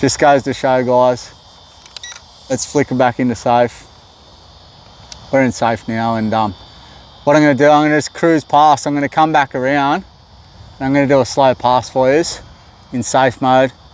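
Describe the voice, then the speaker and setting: Noticeable background noise sits under speech delivered at a moderate pace with fairly even intonation. Long pauses come often. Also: man, medium pitch for a man. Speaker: RC plane hobbyist YouTuber. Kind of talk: live flying commentary. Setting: outdoors at a flying field. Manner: casual, halting with repeated words.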